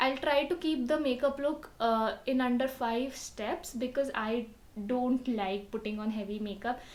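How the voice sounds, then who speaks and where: Soft-spoken and high-pitched, a woman talks with ordinary pitch variation. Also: fairly slow pace. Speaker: beauty vlogger. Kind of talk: tutorial.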